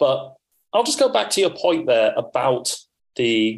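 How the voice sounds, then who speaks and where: A man is speaking. He goes at a fairly slow pace. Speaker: podcast co-host. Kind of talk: casual chat.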